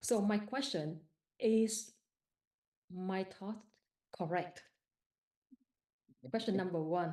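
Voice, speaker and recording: A woman with a Vietnamese accent speaks very slowly at a medium pitch, her tone dark and mellow, with ordinary pitch variation and long, frequent pauses. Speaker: participant asking a question at a live meditation session. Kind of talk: question from audience in live Q&A. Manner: halting.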